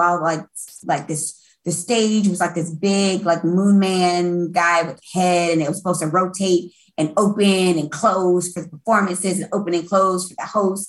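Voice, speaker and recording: At a moderate pace, a woman speaks with a medium pitch and a somewhat breathy voice. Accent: American. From Brooklyn, New York, later Florida. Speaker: music industry event producer. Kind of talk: casual chat.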